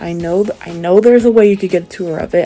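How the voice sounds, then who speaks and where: Music sounds behind the voice. The speaker is a woman. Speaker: book vlogger. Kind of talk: travel vlog narration. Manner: animated; sometimes suddenly loud.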